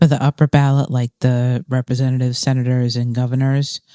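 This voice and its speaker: A woman's very deep, low pitch in a dry, close sound with no echo. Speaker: political video blogger. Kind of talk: casual political talk to camera. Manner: halting, frequent pauses.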